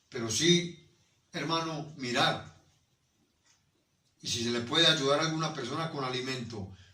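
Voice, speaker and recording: Audible room echo surrounds a man with a fairly high pitch and ordinary pitch variation. He keeps a moderate pace but takes long, frequent pauses. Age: 60s. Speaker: pastor. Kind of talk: sermon.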